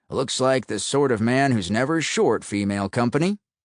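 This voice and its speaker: A man puts on a gruff character voice at a medium pitch and a moderate pace. The sound is dry and close, with no echo. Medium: read story.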